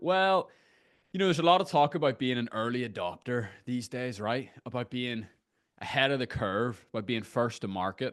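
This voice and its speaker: A man speaks with an Irish accent. His intonation is lively. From Ireland. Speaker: screen-time coach. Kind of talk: interview conversation. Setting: video call from a garden shed.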